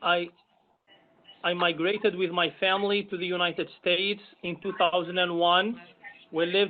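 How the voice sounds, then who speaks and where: A man's high-pitched voice, monotone and flat in intonation, at a moderate pace. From Algeria. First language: Arabic. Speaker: imam, commission member. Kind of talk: self-introduction at public meeting.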